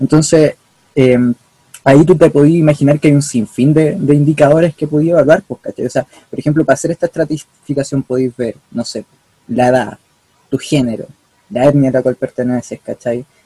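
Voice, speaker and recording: Fairly high-pitched for a man, his voice has a dark, mellow tone and is somewhat breathy. He speaks at a fairly quick pace with fairly even intonation, in a dry, close sound with no echo. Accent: Chilean. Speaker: student activist. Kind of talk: casual chat.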